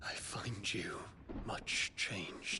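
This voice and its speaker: A man whispers in a put-on character voice over clear background noise. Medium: video game. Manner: earnest, formal.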